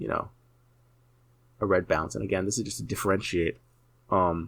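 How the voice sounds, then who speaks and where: In a very clean recording with a silent background, a man with a very deep, low pitch and vocal fry speaks at a fairly quick pace with lively intonation. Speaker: 3D artist. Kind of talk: tutorial. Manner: fast.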